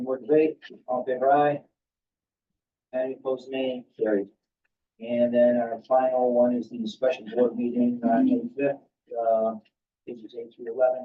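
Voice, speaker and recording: Pausing long and often, a man speaks at a moderate pace in a medium-pitched, monotone, flat delivery. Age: 60s. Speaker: board chairman. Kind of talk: formal meeting.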